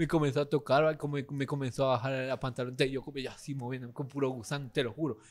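A man with a fairly high pitch talks at a very fast pace. His intonation is monotone and flat, with hardly any pauses. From Guatemala. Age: 20s. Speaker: content creator; podcast guest, content creator. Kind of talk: casual chat. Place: cafe. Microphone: studio mic.

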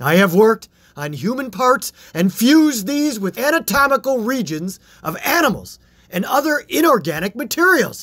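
Using a put-on character voice, the speaker goes at a moderate pace with a fairly bright tone and big pitch swings. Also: man, extremely high pitch for a man.

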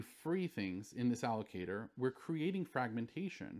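Over a quiet background, a man talks at a moderate pace with lively intonation. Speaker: university lecturer. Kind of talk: lecture. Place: studio.

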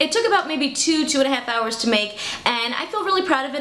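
Woman's voice with audible room echo. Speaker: costume tutorial host. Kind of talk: tutorial intro, casual vlog chat. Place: home room.

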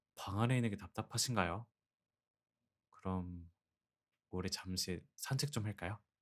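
A man with a fairly low pitch speaks at a fairly slow pace, leaving long, frequent pauses. His tone is gentle and playful, with ordinary pitch variation. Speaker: ASMR roleplay voice actor. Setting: close-mic studio recording, speaking to a listener as a wife. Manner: soft-spoken, gentle, tender, coaxing; playful, warm, with soft laughs.

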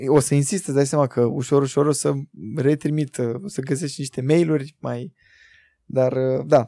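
Against a quiet background with a dry sound and no echo, a man speaks at a fairly high pitch with a dark, mellow tone. His moderate pace holds fairly even intonation and long, frequent pauses. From Romania, Buzău; Romania. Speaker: podcast host. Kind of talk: casual chat. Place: studio. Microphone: studio mic.

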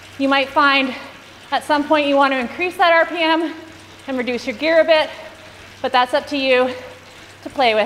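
With noticeable background noise behind her, a woman speaks in an animated tone at a high pitch and moderate pace, leaving long, frequent pauses. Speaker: cycling coach. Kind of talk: guided indoor cycling workout. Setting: live online stream to riders. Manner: animated, encouraging, rhythmic cues and countdowns; brisk, clear, authoritative.

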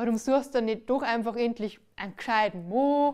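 Moderate pace and ordinary pitch variation in a woman's high voice. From Bavaria. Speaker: cabaret performer. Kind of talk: stand-up comedy on stage. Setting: live stage. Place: stage. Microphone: headset.

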